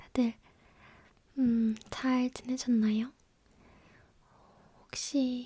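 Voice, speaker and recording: Soft-spoken and very slow, a woman talks in a high pitch with a dark, mellow tone and monotone, flat intonation. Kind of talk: ASMR chit-chat.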